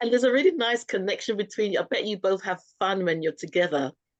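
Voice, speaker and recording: Her intonation lively, a medium-pitched woman speaks with a British accent. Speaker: talk show host. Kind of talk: casual interview.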